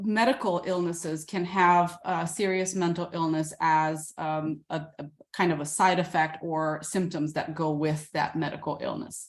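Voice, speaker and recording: With an ordinary speaking voice, a woman speaks at a fairly slow pace with hardly any pauses, her fairly low pitch carrying fairly even intonation. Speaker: psychiatrist. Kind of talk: lecture.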